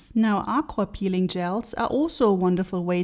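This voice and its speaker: A woman of medium pitch talks at a fairly quick pace. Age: 30s. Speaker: beauty blogger and podcast host. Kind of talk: solo podcast talk. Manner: chatty, upbeat.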